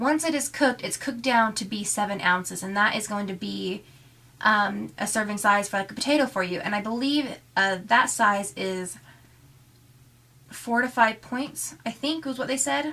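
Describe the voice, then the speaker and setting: The pace is moderate. A woman speaks with a fairly high pitch. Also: ordinary pitch variation. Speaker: weight loss vlogger. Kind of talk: casual vlog. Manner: chatty, hesitant.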